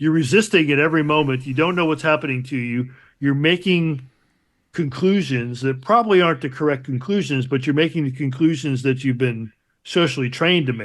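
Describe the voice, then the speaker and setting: A man with an unremarkable speaking voice talks at a fairly quick pace. His pitch is fairly high and varies in an ordinary way. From Chicago, US Midwest. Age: 60s. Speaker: multidisciplinary artist. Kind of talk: casual interview chat.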